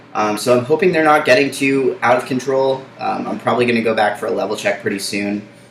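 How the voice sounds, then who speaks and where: Over noticeable background noise, a man talks at a very fast pace with hardly any pauses and ordinary pitch variation. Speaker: vlogger documenting gender transition. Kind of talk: casual vlog update. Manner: hesitant, many fillers.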